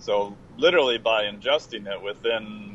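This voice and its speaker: At a moderate pace, a man talks in a normal speaking voice, fairly low in pitch and fairly even in intonation. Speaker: exercise physiologist. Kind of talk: casual chat. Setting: remote call from the road.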